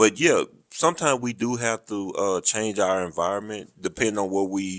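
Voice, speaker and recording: A man speaks with a Southern US accent and a fairly low pitch. His pitch varies in an ordinary way. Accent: southern drawl. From US South, rural. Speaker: military podcast host, army veteran. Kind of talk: casual interview chat.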